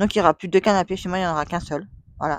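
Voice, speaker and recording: Someone speaks at a very fast pace in a dry, close sound with no echo on a very clean recording with a silent background. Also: woman. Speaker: vlogger. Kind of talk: casual chat. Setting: at home. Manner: rambling, repetitive.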